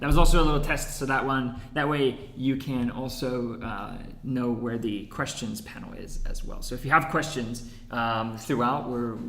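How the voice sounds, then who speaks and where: Fairly even intonation in an American accent, with audible room echo. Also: man. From United States. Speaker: head of research and marketing, webinar host. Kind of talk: webinar presentation. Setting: echoey room. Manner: fast.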